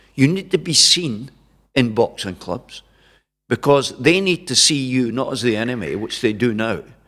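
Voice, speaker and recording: With a Scottish accent and lively intonation, a man speaks at a fairly slow pace. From Dundee, Scotland. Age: 70s. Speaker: journalist and broadcaster, former amateur boxing champion. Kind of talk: interview answer.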